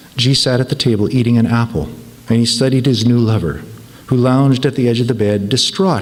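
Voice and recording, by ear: Fairly even intonation throughout, reading aloud in a natural voice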